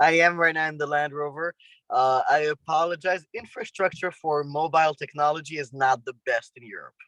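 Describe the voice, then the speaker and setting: Fairly high-pitched man with a French accent, bright, sharp tone, fairly even intonation, big swings in loudness, fairly quick pace, dry, close sound with no echo. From France. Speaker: world traveler, finance entrepreneur. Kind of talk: interview. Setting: video call from a Land Rover. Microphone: spotty connection.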